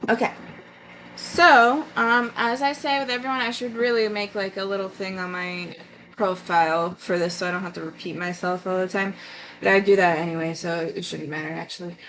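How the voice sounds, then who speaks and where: Ordinary pitch variation in a medium-pitched female voice. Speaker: tarot reader streamer. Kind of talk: live-stream tarot reading. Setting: live stream. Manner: halting; casual.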